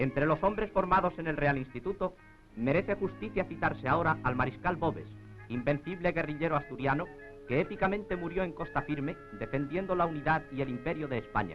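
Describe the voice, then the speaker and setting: Over music in the background, the speaker uses a solemn tone at a fairly quick pace with ordinary pitch variation. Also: man, fairly high pitch for a man. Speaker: newsreel announcer. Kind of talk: documentary narration. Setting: 1940s film soundtrack. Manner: grandiose, solemn.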